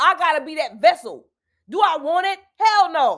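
A woman's extremely high voice at a fairly slow pace, on a very clean recording with a silent background. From US South, South Carolina Lowcountry. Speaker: podcast host and self-help speaker. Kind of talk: casual monologue.

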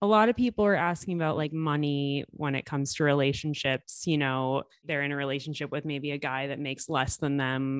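A woman speaks with a very deep, low voice at a fairly quick pace, with hardly any pauses, over a quiet background in a dry, close sound with no echo. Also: ordinary pitch variation. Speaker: podcast host. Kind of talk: casual interview.

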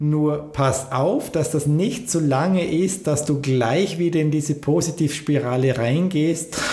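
Amid noticeable background noise and audible room echo, a man with a fairly high pitch speaks very slowly, using ordinary pitch variation. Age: 40s. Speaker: podcast host and business coach. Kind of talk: motivational monologue.

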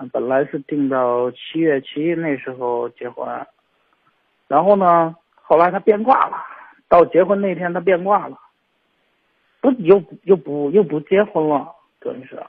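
A man with a high pitch speaks at a fairly slow pace with long, frequent pauses, lively intonation and big swings in loudness. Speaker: caller seeking marriage advice. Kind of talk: phone-in confession. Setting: phone call. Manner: halting, hesitant. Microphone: phone with earphones, poor sound.

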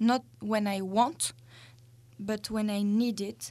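A woman's fairly high, somewhat breathy voice, very slow and fairly even in intonation, on a very clean recording with a silent background. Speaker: guest. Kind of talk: casual chat. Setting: studio.

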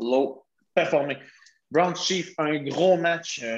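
The speaker is a man. He has a Quebec accent. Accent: Québécois French. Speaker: podcast host. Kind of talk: casual sports chat.

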